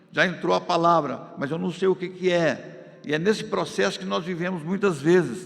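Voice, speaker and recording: A man speaks with ordinary pitch variation. Noticeable background noise and audible room echo are present. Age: 70s. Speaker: pastor. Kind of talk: sermon. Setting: church. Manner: loud.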